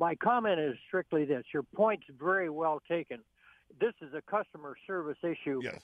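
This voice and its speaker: A man with an American accent talks at a moderate pace in a fairly high pitch, with ordinary pitch variation and a plain, everyday voice. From Arlington, Texas; formerly based in New York. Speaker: caller, former airline pilot. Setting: phone.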